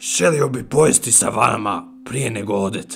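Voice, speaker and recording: Over faint music in the background, a man does a raspy, put-on character voice. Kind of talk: horror radio drama. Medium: audio drama. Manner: folksy, friendly.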